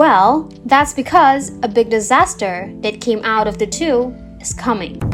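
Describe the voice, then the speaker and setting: With music in the background, a woman talks at a high pitch, her voice making very wide pitch swings. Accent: non-native. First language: not English. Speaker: music video analysis YouTuber. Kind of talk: commentary explainer. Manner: casual.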